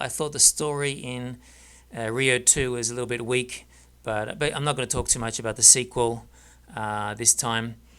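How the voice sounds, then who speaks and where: A man's bright, sharp tone with an Australian accent, fairly even intonation and a moderate pace. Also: very clean recording, silent background. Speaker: film reviewer. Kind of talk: casual monologue review. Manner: halting, many fillers.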